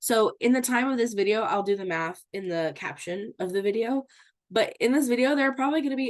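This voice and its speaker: Speaking at a fairly quick pace, a woman uses lively intonation and a fairly high pitch. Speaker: teacher. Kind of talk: lecture. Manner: fast; casual, many fillers like okay.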